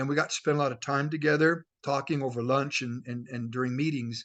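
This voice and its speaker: Quiet background, a man's fairly high voice, fairly quick pace. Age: 60s. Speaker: network marketing leader. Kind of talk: motivational talk. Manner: animated.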